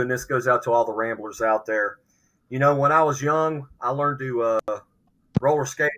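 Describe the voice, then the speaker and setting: A man with an Appalachian accent, medium-pitched, bright and sharp in tone, fairly quick, with fairly even intonation. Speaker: podcast panelist. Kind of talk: casual chat.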